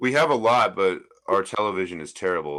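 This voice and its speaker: This man has a bright, sharp tone with some vocal fry. His pitch swings very widely. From United States. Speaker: livestream panelist. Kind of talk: casual chat.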